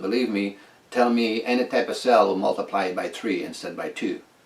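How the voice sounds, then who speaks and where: Noticeable background noise sits under the recording. A man speaks over it at a fairly quick pace. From northern Quebec. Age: 60s. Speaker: inventor. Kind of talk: casual monologue. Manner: halting.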